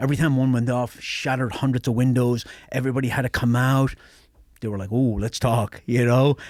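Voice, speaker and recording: A man with an Irish accent speaks fairly quickly in a flat monotone at a medium pitch. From Ireland, near the Northern Ireland border. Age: 50s. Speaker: special forces veteran. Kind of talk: casual chat.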